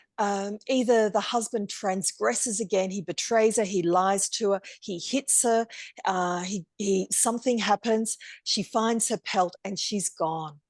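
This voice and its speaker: An ordinary speaking voice from a woman, medium in pitch with ordinary pitch variation, at a fairly slow pace, against a quiet background, in a dry, close sound with no echo. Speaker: storyteller and workshop teacher. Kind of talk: online masterclass lecture.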